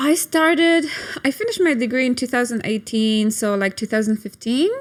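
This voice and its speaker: A woman's high voice with a Polish accent, fairly quick and lively in intonation, with very even loudness and noticeable background noise. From Poland. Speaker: sex and couples therapist. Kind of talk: interview. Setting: studio.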